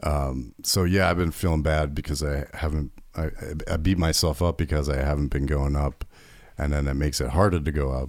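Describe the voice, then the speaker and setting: At a fairly quick pace, a man with a very deep, low pitch speaks with fairly even intonation on a very clean recording with a silent background. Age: 30s. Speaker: podcast host and open-mic comedian. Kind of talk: casual chat.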